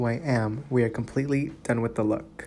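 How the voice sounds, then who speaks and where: A dark, mellow tone marks this man's speech. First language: Spanish. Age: 20s. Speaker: beauty vlogger. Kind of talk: makeup tutorial with personal story. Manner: animated.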